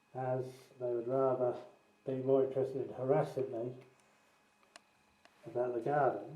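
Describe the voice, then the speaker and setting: Speaking at a moderate pace, a man with a medium pitch and a dark, mellow tone keeps his intonation monotone and flat. Long, frequent pauses break up his speech, and audible room echo surrounds it. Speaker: tenant making a complaint video. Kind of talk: walkthrough video narration. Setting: indoors, in a rented house.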